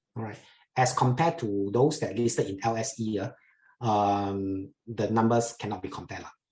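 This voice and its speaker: A man talks at a moderate pace with a Chinese accent and a medium pitch. His voice is somewhat breathy, with ordinary pitch variation. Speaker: investment educator. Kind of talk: webinar Q&A. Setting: online webinar. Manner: halting, many fillers.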